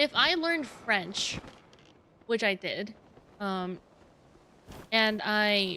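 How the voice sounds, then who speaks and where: A woman with a Dutch accent speaks at a very slow pace, with long, frequent pauses. Her voice is bright and sharp, fairly high in pitch, with lively intonation. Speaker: vtuber streamer. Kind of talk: casual livestream chat while gaming. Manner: halting.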